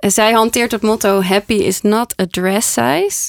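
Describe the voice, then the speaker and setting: A woman with a fairly high pitch uses a normal speaking voice and ordinary pitch variation, in a dry, close sound with no echo. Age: 30s. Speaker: podcast host and decluttering coach. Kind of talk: casual chat. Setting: studio.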